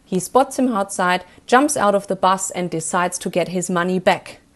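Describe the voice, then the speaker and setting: A woman speaks with a German accent. The background is quiet. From Germany. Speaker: film reviewer. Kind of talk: review.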